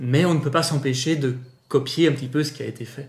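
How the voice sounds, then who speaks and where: Ordinary pitch variation with audible room echo. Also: man. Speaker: amateur voice actor and YouTuber. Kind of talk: casual interview.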